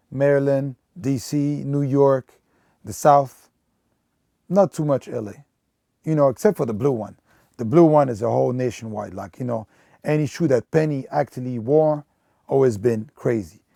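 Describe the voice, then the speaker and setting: With a non-native accent, a man speaks at a moderate pace and a medium pitch in a dark, mellow tone, with ordinary pitch variation, big swings in loudness, long, frequent pauses and a dry, close sound with no echo. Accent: noticeable foreign. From Belgium. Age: 30s. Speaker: sneaker collector and retail store manager. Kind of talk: documentary interview. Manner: casual, filler-heavy.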